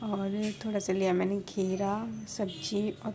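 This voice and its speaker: Over noticeable background noise, a woman speaks at a medium pitch in a monotone, flat intonation. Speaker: family vlogger. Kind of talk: casual vlog narration. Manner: slow; soft-spoken.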